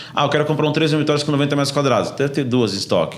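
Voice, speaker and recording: An animated man's voice, fairly high and very fast, with audible room echo and noticeable background noise. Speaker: real estate sales manager. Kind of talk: podcast conversation.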